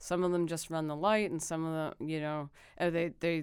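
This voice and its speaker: On a very clean recording with a silent background, a woman with a very deep, low pitch and an American accent speaks fairly quickly in a monotone, flat intonation. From Philadelphia. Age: 30s. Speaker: comedian. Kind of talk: casual chat.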